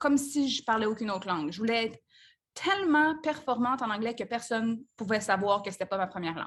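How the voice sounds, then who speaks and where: A somewhat breathy woman with a fairly high voice speaks at a fairly quick pace. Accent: Quebec. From Quebec, Saint-Hyacinthe. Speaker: business coach. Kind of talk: live group coaching call. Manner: casual, conversational with fillers.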